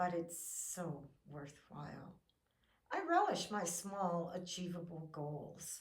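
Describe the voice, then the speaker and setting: A woman's somewhat breathy voice, fairly low in pitch, very slow in pace and monotone, with flat intonation. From Canada. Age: 70s. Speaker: fitness vlogger. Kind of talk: encouraging video talk.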